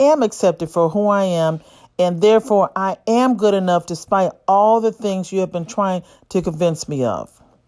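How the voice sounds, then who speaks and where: In a very clean recording with a silent background, a woman with an ordinary speaking voice and an American accent talks at a moderate pace and medium pitch, with lively intonation. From United States. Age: 60s. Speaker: physician and channel host. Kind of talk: scripted monologue.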